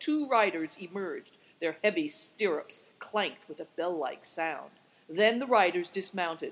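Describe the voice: Simply plain reading aloud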